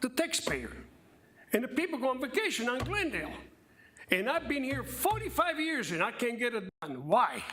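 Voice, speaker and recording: The voice is raised and projected, with very wide pitch swings at a moderate pace. Noticeable background noise runs underneath. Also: man. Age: 70s. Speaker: public commenter at city council meeting. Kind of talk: public comment.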